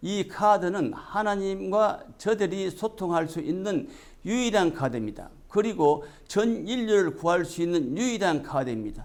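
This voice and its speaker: A man's high voice with lively intonation at a fairly slow pace. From South Korea. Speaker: religious messenger. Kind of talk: scripted religious address.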